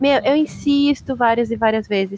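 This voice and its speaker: A woman is speaking. Her pitch is high. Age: 30s. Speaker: comics professional and fan. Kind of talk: casual chat.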